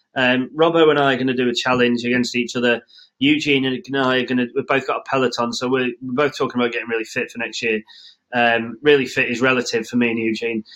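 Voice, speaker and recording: Delivered at a very fast pace, the speech has an English accent and a monotone, flat intonation. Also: man, medium pitch for a man. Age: 30s. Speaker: podcast host. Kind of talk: casual chat.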